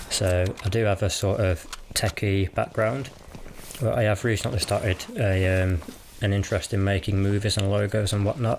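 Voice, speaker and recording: Speaking at a moderate pace, a man has a relaxed tone and a fairly low pitch. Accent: British. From West Midlands, England (Cannock, Birmingham area). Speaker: gaming YouTuber. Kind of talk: casual vlog commentary.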